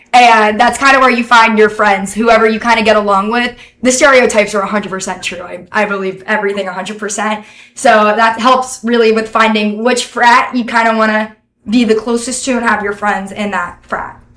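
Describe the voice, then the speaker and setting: With a Northeastern US accent, a woman speaks at a fairly quick pace in a fairly high pitch. Her tone is bright and sharp, and her intonation is monotone and flat. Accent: Northeastern US, stands out in Alabama. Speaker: college student. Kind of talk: interview. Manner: casual, filler-heavy.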